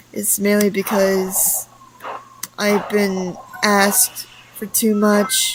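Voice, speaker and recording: Over noticeable background noise, the speech moves at a very slow pace in a monotone, flat intonation, broken by long, frequent pauses. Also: woman, medium pitch for a woman. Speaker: content creator. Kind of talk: personal announcement monologue. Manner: halting.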